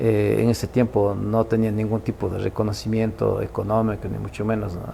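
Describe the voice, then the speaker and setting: A man with an Ecuadorian accent talks at a moderate pace over noticeable background noise. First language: Kichwa (speaking Spanish). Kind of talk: interview. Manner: halting.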